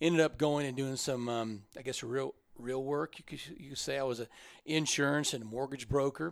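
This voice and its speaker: On a very clean recording with a silent background, the words come fairly quickly. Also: man. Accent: Midwestern US. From Kansas (Pratt). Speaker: transportation agency executive. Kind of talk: interview.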